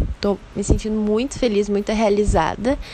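A woman talks with fairly even intonation at a moderate pace, and noticeable background noise can be heard. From southern Brazil. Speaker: rhythmic gymnast. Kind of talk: interview.

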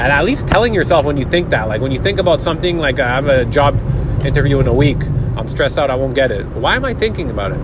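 Lively intonation from a man, with noticeable background noise behind. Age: 30s. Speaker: mental health podcaster and car salesman. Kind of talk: casual monologue. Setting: in a car.

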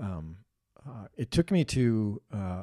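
A man's somewhat breathy, dark, mellow voice with an Upper Midwest US accent, dry and close with no echo, on a very clean recording with a silent background. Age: 60s. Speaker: mentor. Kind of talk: casual chat. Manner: halting.

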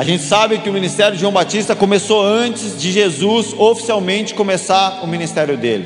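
Over noticeable background noise and audible room echo, a man with a high pitch speaks at a fairly quick pace with hardly any pauses. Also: ordinary pitch variation. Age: 30s. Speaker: pastor. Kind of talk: sermon.

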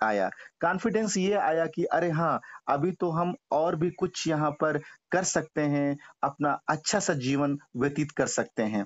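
A man speaks with a fairly high pitch and ordinary pitch variation. He has an unremarkable speaking voice and very even loudness. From village near Lucknow, Uttar Pradesh. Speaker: company employee sharing life story. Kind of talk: interview testimony.

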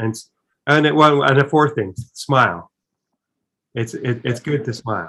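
Bright and sharp in tone with some vocal fry, this voice moves at a fairly slow pace with long, frequent pauses and ordinary pitch variation. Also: man, medium pitch for a man. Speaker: podcast host. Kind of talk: casual interview. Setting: video call.

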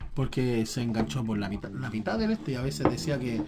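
Over music in the background, the speaker has an animated tone and a Chilean accent. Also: man. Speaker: podcast host. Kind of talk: casual chat.

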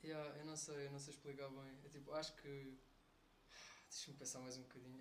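Barely pausing, a man with a European Portuguese accent talks in a fairly high, somewhat breathy voice amid audible room echo. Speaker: university friend. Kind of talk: casual chat.

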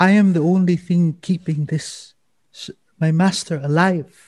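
A man puts on a character voice with a high pitch. He speaks at a fairly slow pace. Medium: actual play. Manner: dignified, formal.

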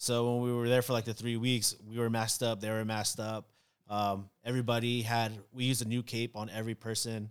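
A man talks fast-ish at medium pitch in a monotone, flat delivery, captured in a very clean recording with a silent background. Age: 30s. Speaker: barber. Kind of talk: casual chat.

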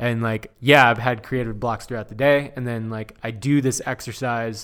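The speaker has an American accent and talks at a moderate pace with fairly even intonation. The recording is very clean, with a silent background. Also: man. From Southern California (Inland Empire). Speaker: retoucher and graphic designer. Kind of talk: casual chat.

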